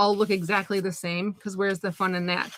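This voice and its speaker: A woman talks at a fairly quick pace. Her tone is bright and sharp. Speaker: art teacher, craft tutorial host. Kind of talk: live craft tutorial. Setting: home craft studio, livestream. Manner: fast; animated.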